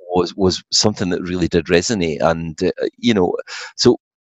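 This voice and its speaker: A man speaks in a Scottish accent, his voice very deep and low. The sound is dry and close with no echo. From Scotland. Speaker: songwriter. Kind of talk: casual interview. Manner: hesitant, frequent fillers.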